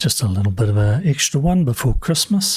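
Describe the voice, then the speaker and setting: The voice is a man's and somewhat breathy. His pitch swings very widely. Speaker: gaming video creator. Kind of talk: casual gameplay commentary. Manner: softer than usual.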